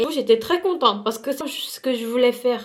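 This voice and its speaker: A woman with lively intonation. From South Korea. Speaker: beauty vlogger. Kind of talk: casual vlog storytime while doing makeup. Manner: halting, many hesitations and repetitions.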